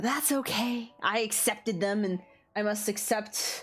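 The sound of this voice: Intonation is fairly even as an unforced reading voice goes on.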